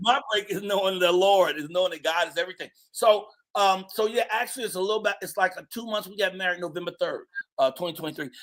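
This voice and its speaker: A man's high-pitched voice at a very fast pace, with big swings in loudness. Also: ordinary pitch variation. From Chicago. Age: 60s. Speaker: comedian. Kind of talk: casual interview chat.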